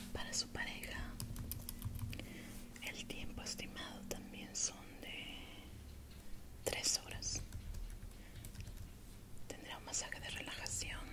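The speaker is soft-spoken and goes at a very slow pace with long, frequent pauses. Loud background noise fills the recording. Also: woman. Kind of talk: role-play consultation with a client. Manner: soft, hushed ASMR speaking voice. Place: home room. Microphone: lapel.

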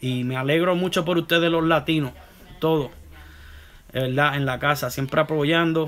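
At a moderate pace, a man with a Puerto Rican accent speaks at a high pitch. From Puerto Rico (Santurce), moved to US at 13; Puerto Rico. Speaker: barber. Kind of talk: live stream Q&A. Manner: halting, many self-corrections. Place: home room. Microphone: phone near.

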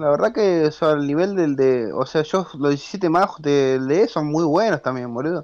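With a normal speaking voice, a man talks at a fairly slow pace with hardly any pauses, his pitch fairly high and its variation ordinary. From Argentina. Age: 20s. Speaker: competitive video game player. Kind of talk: casual interview.

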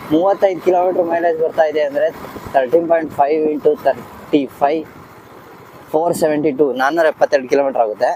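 Over noticeable background noise, a man talks at a fairly high pitch with ordinary pitch variation and very even loudness. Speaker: motorcycle reviewer, YouTuber. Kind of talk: casual bike review vlog. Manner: animated, joking.

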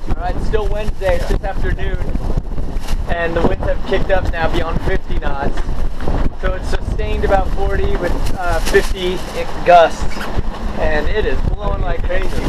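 Over loud background noise, a man talks at a moderate pace, leaving long, frequent pauses. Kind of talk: casual vlog chat. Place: boat. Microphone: phone near.

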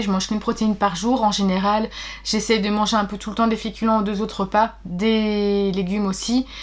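A woman's voice sits at a fairly high pitch. She speaks at a moderate pace. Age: 30s. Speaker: book vlogger. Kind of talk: personal vlog. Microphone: webcam.

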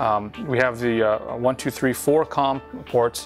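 Faint music plays in the background while a man speaks. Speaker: presenter. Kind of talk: product demonstration. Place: studio. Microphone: lapel.

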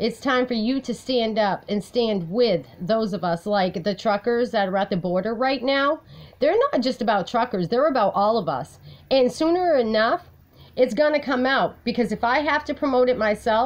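Lively intonation runs through speech that moves at a moderate pace. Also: woman. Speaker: personal advocate vlogger. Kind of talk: casual vlog chat. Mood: aggrieved, determined. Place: home room. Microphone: phone near.

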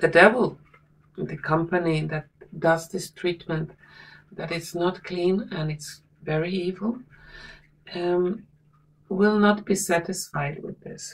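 Speaking at a very slow pace with long, frequent pauses, a woman uses a fairly low pitch and fairly even intonation. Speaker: tarot reader. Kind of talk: tarot reading commentary.

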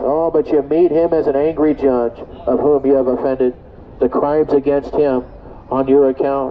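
A man talks at a moderate pace, with light background noise behind him. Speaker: street preacher. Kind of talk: sermon. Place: street. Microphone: phone near.

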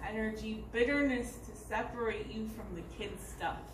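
A woman at a fairly slow pace with noticeable background noise. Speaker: poet reading own poems. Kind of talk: poetry reading, performed poem. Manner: rhythmic, expressive poetic delivery. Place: stage. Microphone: camera far.

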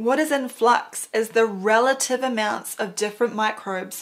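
At a moderate pace, a woman speaks with ordinary pitch variation over a quiet background. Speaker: presenter. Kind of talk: scripted explainer commentary. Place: home room.

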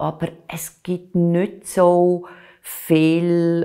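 A woman's dark, mellow tone comes through over a quiet background. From Switzerland, Aargau (Baden); Aargau, Switzerland. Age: 60s. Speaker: culture journalist and art critic; culture journalist. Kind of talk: oral history interview. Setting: recorded interview. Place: home room. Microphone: lapel.

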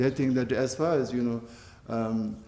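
Dark and mellow in tone, a man speaks with a Tibetan accent. Light background noise and audible room echo surround him. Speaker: Buddhist teacher. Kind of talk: interview. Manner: halting, many fillers. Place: home room.

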